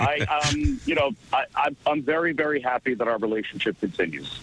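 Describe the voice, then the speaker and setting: Noticeable background noise is present throughout. Over it, a man talks. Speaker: NFL team radio play-by-play announcer. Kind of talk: radio show interview answer, casual sports talk.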